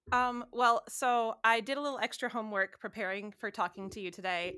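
In a Midwestern American accent, the speaker has a bright, sharp tone, a moderate pace and ordinary pitch variation. The recording is very clean with a silent background and a dry, close sound with no echo. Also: woman. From Southeast Michigan. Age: 30s. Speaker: wedding photographer. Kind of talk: casual interview.

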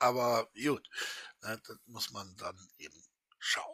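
A man's medium-pitched voice, bright and sharp in tone, at a very slow pace with ordinary pitch variation. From western Germany. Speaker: YouTuber commenting on clips. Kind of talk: casual commentary chat.

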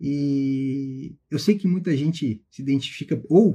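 A man speaks in a medium pitch with a somewhat breathy voice. His tone is dark and mellow. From southern Brazil (Carazinho, Rio Grande do Sul). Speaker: federal prosecutor and exam-prep teacher. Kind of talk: motivational talk to students on a live stream. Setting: Instagram live stream.

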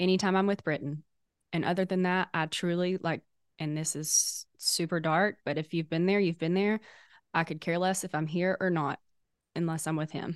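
Recorded dry and close with no echo against a quiet background, a woman with a Southern US accent speaks at a fairly low pitch and moderate pace with fairly even intonation. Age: 20s. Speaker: podcast co-host. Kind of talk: casual chat.

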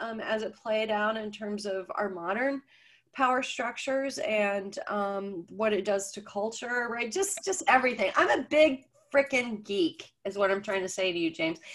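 A woman with an ordinary speaking voice, fairly slow and with ordinary pitch variation, on a very clean recording with a silent background. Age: 50s. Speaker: author and coach. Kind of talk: casual interview.

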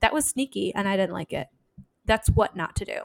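Speaking fairly quickly in a normal speaking voice, a woman with an American accent talks at medium pitch, the sound dry and close with no echo. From US Midwest. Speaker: podcast host. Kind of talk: casual chat.

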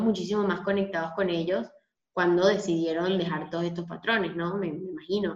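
An ordinary speaking voice, a woman talks at a moderate pace with medium pitch and ordinary pitch variation. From Venezuela. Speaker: podcast host. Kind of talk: casual interview.

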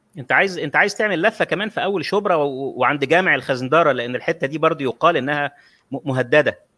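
A man with a fairly high pitch and a bright, sharp tone talks at a very fast pace with hardly any pauses and ordinary pitch variation. The recording is very clean, with a silent background and a dry, close sound with no echo. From Egypt, Cairo (Shubra). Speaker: online talk show host. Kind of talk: live-streamed conversation.

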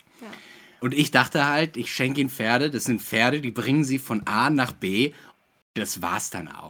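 A normal speaking voice from a man, medium in pitch with ordinary variation, at a moderate pace in a very clean recording with a silent background. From Ruhr area, Germany. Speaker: actor and game master. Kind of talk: casual chat.

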